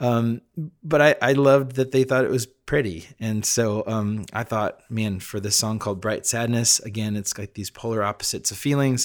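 The recording is very clean, with a silent background. A man talks at a medium pitch and moderate pace with fairly even intonation. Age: 40s. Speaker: musician podcast host. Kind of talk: reflective monologue. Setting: home studio. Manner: halting.

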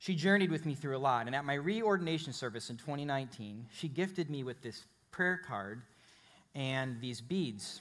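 A plain, everyday voice with an American accent speaks at a moderate pace with lively intonation. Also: man, fairly high pitch for a man. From Chicago, US Midwest. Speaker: pastor. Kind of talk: sermon. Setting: church with live congregation.

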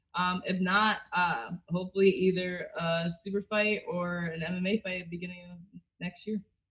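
In an ordinary speaking voice, a woman speaks at a fairly slow pace with a medium pitch and fairly even intonation. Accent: American. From US Northeast (Connecticut/Massachusetts). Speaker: jiu-jitsu and MMA fighter. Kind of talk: casual chat.

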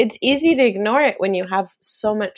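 A woman with an American accent and an unremarkable speaking voice talks at a fairly slow pace with lively intonation against a quiet background. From US East Coast, Maryland near DC. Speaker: author and commercial producer. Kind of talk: casual interview chat.

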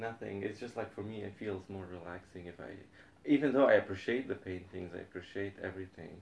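With a somewhat breathy, fairly low voice, a man speaks at a fairly quick pace, his pitch varying in an ordinary way and his loudness swinging widely. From Lebanon. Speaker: statistics professor. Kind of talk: casual chat.

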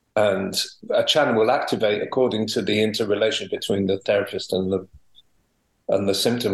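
The speech has a Welsh accent. It moves at a fairly quick pace. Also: man. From Wales. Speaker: homeopath and teacher. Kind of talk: interview.

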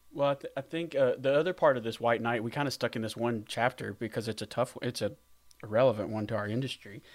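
Speaking very fast in a Southern US accent, a man uses a medium pitch with ordinary pitch variation, captured in a very clean recording against a silent background. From US South. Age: 40s. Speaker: veterinary practice owner, former teacher. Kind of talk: podcast interview.

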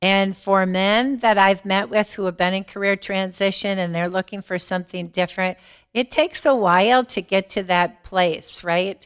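The recording is very clean, with a silent background. A woman with an ordinary speaking voice and a medium pitch talks at a moderate pace with ordinary pitch variation. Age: 60s. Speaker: diversity and inclusion director. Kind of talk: casual interview.

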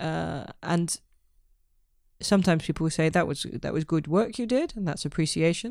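Her voice has a fairly low pitch, vocal fry and lively intonation at a moderate pace. The woman is heard on a very clean recording with a silent background. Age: 40s. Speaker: book reviewer, friend of the author. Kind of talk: casual chat.

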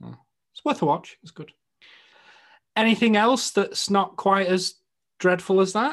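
Speaking with a northern English accent, a man talks at a fairly slow pace in a high pitch, leaving long, frequent pauses. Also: ordinary pitch variation. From northern England. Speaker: podcast host. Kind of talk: casual chat.

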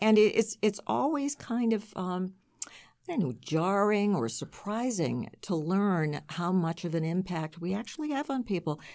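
A woman's medium-pitched voice in an American accent, fairly slow, with very wide pitch swings, on a very clean recording with a silent background. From Massachusetts, North Shore (Marblehead). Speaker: radio news anchor. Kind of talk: casual interview chat.

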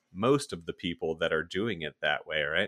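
A man with an American accent speaks at a moderate pace in a bright, sharp tone. The sound is dry and close with no echo, a very clean recording with a silent background. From South Florida and northern Virginia. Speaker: podcast host. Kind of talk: casual interview conversation.

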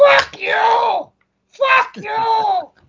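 A man shouts in a put-on character voice at an extremely high pitch. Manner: slurred, yelling.

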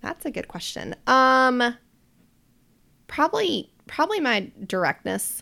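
A woman with an American accent speaks in a raised, projected voice, high and bright with a sharp tone, at a very slow pace with very wide pitch swings and long, frequent pauses, in a very clean recording with a silent background. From US South, Charlotte, North Carolina. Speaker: behavior analysis business owner. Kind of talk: casual chat.

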